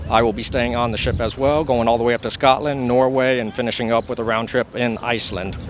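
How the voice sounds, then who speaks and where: Over noticeable background noise, a man of medium pitch speaks at a very fast pace with hardly any pauses and fairly even intonation. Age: 40s. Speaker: traveler. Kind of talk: casual interview.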